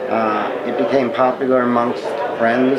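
A man speaks with crowd noise in the background. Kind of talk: interview answer. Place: tent.

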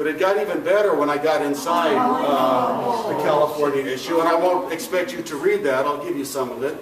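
A man talking with hardly any pauses over loud background noise. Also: fairly quick pace. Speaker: retired campus architect. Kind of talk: lecture. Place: hall. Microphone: camera far.

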